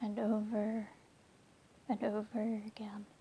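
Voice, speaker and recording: American accent, woman speaking: a woman with an American accent. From United States. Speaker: chronic illness vlogger. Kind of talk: personal testimony vlog. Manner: hesitant, many fillers.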